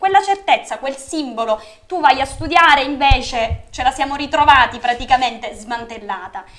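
The speaker keeps a moderate pace and lively intonation against a quiet background. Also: woman, high pitch for a woman. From Sicily, Catania; Sicily. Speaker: local party organizer; guest. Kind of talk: political interview. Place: studio.

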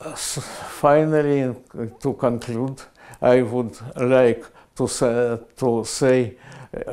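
Against a quiet background, a man with a Russian accent speaks very slowly in a dark, mellow tone with fairly even intonation. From Russia (Soviet Union), Moscow. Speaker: physicist. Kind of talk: prize acceptance speech, recorded. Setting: video recording. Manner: halting, many hesitations. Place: office. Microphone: lapel.

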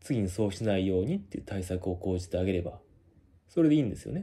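A man's somewhat breathy voice, fairly low in pitch, with a dark, mellow tone and a very fast pace. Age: 30s. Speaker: company employee and video blogger; vlogger. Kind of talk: monologue. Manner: hesitant, many filler words. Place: home room. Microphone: phone near.

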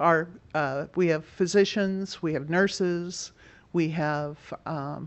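A woman speaks slowly, low in pitch, with fairly even intonation.

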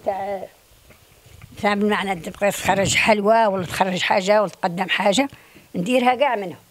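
With a western Algerian accent, a woman speaks at a moderate pace in a fairly high pitch with ordinary pitch variation, with light background noise behind her. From Algeria, Sebdou, Tlemcen province; Tlemcen province, Algeria. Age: 80s+. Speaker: traditional craftswoman. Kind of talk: interview testimony; interview answer. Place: home room. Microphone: handheld.

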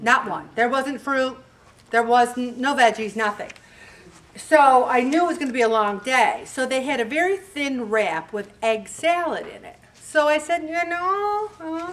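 Speaking at a fairly slow pace, a woman with a high pitch uses lively intonation and big swings in loudness. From US Northeast (Syracuse, New York). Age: 70s. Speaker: weight loss group leader. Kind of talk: motivational talk. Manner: animated. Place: hall.

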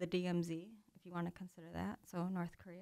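A woman's medium-pitched voice with an Upper Midwest accent. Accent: Upper Midwest American. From US Midwest, Green Bay, Wisconsin. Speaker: harpist and music therapist. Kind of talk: casual interview chat. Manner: casual, many fillers.

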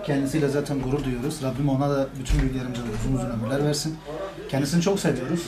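Noticeable background noise runs under a man talking at a very fast pace. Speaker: grandson of the centenarian. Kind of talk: interview answer. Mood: proud, warm, calm. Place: home room.

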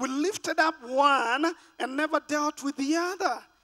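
A man's raised, projected voice with music in the background. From Kenya. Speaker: pastor. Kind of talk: sermon. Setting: stage with audience. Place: church. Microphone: handheld.

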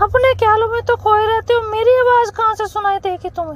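A man puts on a cartoonish character voice at an extremely high pitch. He keeps a moderate pace while clear background noise runs underneath. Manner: defensive.

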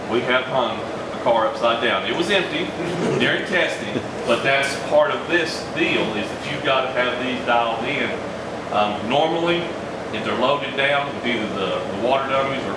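Amid loud background noise and audible room echo, a man talks at a moderate pace with ordinary pitch variation. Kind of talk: guided tour explanation. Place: workshop. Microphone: camera far.

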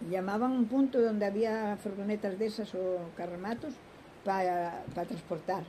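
Over light background noise, the voice comes through somewhat breathy with a dark, mellow tone. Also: woman, ordinary pitch variation, fairly slow pace. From Spain. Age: 90s. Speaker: grandmother interviewee; interviewee. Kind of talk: interview reminiscence; interview answer. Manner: rambling, halting. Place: garden.

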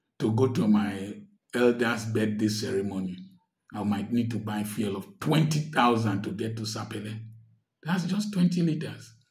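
A man talks at a fairly slow pace with lively intonation and a somewhat breathy sound. The background is quiet. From Nigeria. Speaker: doctor and commentator; commentator. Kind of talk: social commentary monologue. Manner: animated. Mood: earnest, complaining about hardship. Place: home room. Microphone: phone near.

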